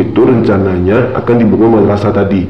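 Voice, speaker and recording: A man keeps a moderate pace as music plays in the background. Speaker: horror story narrator. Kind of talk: horror story narration, first-person retelling of a personal ghost experience. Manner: conversational, casual, colloquial.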